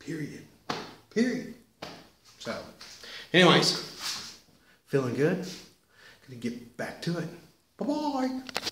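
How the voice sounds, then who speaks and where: A man's very slow speech full of long, frequent pauses, over noticeable background noise. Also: big swings in loudness. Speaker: martial arts vlogger. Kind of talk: casual vlog chat. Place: home room. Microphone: webcam.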